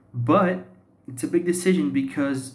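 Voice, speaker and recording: A man's somewhat breathy voice with a Portuguese accent, in audible room echo. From Brazil, São Paulo. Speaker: YouTuber practicing English. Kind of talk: personal monologue vlog. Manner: halting, many fillers and self-repairs.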